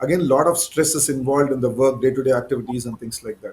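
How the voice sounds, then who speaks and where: His voice sits fairly high for a man and sounds somewhat breathy. The pitch varies in an ordinary way. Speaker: cancer surgeon. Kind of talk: live Q&A.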